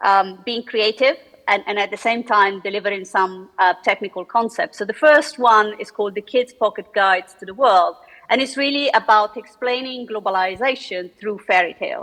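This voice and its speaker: With an Italian accent, a woman speaks at a moderate pace in a fairly high voice with ordinary pitch variation. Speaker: economist and author. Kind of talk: panel discussion. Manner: hesitant, many fillers.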